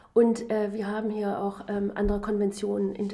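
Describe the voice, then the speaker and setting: A woman with an ordinary speaking voice talks at a moderate pace, her pitch fairly high. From Germany. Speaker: political science professor. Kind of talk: interview.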